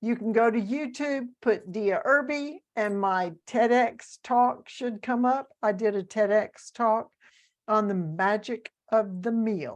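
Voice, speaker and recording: A woman with a Southern US accent, fairly high-pitched, at a very slow pace over a quiet background. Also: ordinary pitch variation. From US South. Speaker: author and speaker. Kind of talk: interview.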